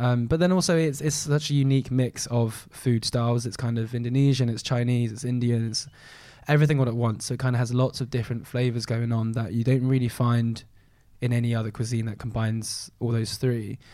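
Speaking with a London accent, a man talks at a fairly quick pace in a medium-pitched, dark, mellow tone with fairly even intonation. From southwest London. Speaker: food and travel influencer. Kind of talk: casual chat.

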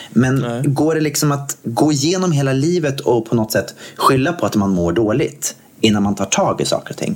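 A man speaks at a fairly high pitch and a moderate pace with lively intonation. Noticeable background noise is present. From Gothenburg, Sweden. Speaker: podcast co-host. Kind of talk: casual chat.

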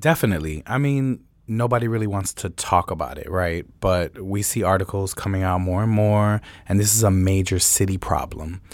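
This man has an ordinary speaking voice with fairly low pitch. He talks at a moderate pace with ordinary pitch variation. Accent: American. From Chicago. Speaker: DJ and party promoter. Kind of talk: panel discussion.

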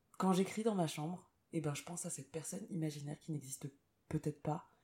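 Pausing long and often, a woman speaks with a very deep, low pitch, a dark, mellow tone, a somewhat breathy quality and ordinary pitch variation. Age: 30s. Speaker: singer-songwriter. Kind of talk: interview. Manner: hesitant, many fillers.

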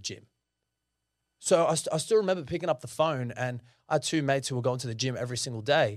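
Speaking quickly with lively intonation in an Australian accent, a man is heard in a very clean recording with a silent background. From Sydney, Australia (the Shire). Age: 30s. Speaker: mortgage broker and economist. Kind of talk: interview conversation.

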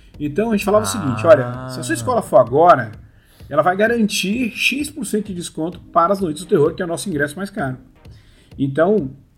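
Over background music, a man talks very fast at a high pitch. His voice swings very widely in pitch. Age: 40s. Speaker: amusement park industry professional. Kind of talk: casual interview.

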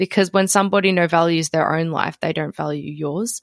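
A woman with a normal speaking voice talks at a moderate pace and fairly low pitch, dry and close with no echo, on a very clean recording over a silent background. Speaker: podcast host. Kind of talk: casual interview.

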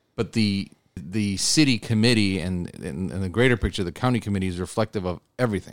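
In a very clean recording with a silent background, a man with an American accent uses an unremarkable speaking voice, fairly low in pitch with ordinary variation, at a moderate pace. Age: 30s. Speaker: state legislator. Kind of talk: interview.

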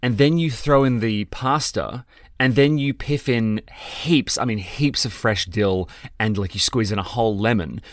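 Recorded very cleanly against a silent background, a man with an Australian accent talks at a medium pitch and a fairly slow pace, with ordinary pitch variation. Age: 30s. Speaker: podcast co-host. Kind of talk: casual chat.

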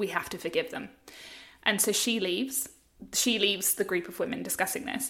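With an Australian accent, a woman at a medium pitch speaks very fast. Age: 30s. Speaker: journalist and podcast co-host. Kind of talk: casual chat. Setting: remote call.

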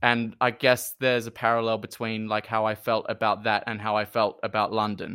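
With a New Zealand accent, a man talks at a fairly quick pace with hardly any pauses, using a bright, sharp tone, medium pitch and monotone, flat intonation on a very clean recording with a silent background. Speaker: performer, musical theatre artist. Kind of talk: casual interview chat. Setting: in person.

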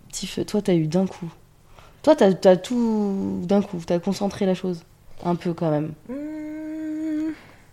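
At a very slow pace, a woman with a medium pitch and a dark, mellow tone makes very wide pitch swings. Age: 20s. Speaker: podcast host, adoptee. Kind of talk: casual chat.

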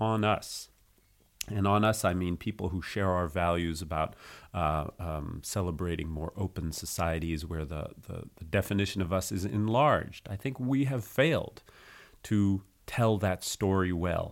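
A man with a French accent speaks in a very deep, low voice, his pitch rising and falling in an ordinary way. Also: moderate pace, very clean recording, silent background. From United States. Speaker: nonprofit co-founder. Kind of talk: interview. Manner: halting.

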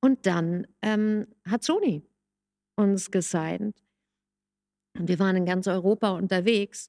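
Very slow speech with long, frequent pauses, a dark, mellow tone, ordinary pitch variation and a dry, close sound with no echo. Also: woman, medium pitch for a woman. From Hamburg, northern Germany. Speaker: music coach and songwriter. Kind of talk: casual chat.

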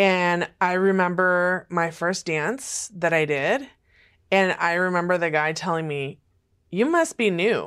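A woman with an American accent talks at a fairly slow pace with a fairly low pitch and ordinary pitch variation, in an ordinary speaking voice. The recording is very clean, with a silent background. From California. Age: 40s. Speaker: sex industry survivor and outreach director. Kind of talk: testimony. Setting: studio.

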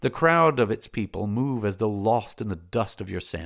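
A natural reading voice is heard. Its intonation moves in a lively way.

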